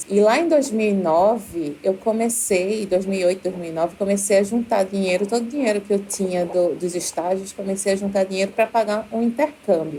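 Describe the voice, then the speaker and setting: A woman with a Recife accent speaks at a moderate pace over noticeable background noise. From Brazil, Recife. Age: 30s. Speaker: university professor, doctoral student. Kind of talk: podcast interview, personal story.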